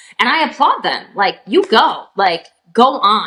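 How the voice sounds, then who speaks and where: Loud and bright, a woman speaks with a sharp tone. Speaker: reseller on live selling platform. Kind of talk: podcast interview. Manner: animated.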